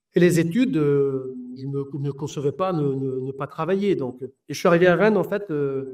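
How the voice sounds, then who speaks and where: Fairly high-pitched male speech at a moderate pace, with ordinary pitch variation. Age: 60s. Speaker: football coach. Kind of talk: interview. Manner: halting, many hesitations.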